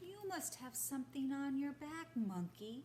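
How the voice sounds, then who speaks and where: A high, put-on character voice at a moderate pace over clear background noise. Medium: read story.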